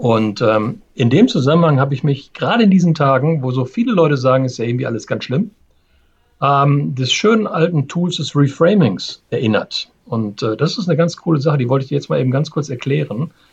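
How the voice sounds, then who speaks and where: This man's voice is fairly high and somewhat breathy. He talks at a fairly quick pace with lively intonation. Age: 50s. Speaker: change management consultant, podcast co-host. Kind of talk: casual chat.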